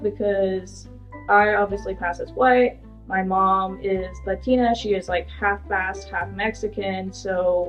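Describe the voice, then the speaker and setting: A woman with an American accent at a fairly slow pace, music playing behind her. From Woodland, California. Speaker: community college student. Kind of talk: interview answer. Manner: casual, conversational.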